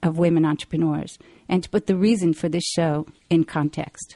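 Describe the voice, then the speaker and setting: An unremarkable speaking voice from a woman, fairly low in pitch, at a fairly quick pace. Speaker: radio host. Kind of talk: radio talk show interview. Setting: live call-in radio show.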